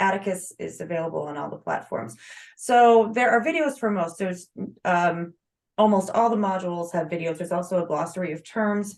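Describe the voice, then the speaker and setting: Talking at a fairly quick pace, a woman uses a normal speaking voice at medium pitch with ordinary pitch variation. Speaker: author and blogger giving a self-publishing presentation. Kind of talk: webinar Q&A and course pitch.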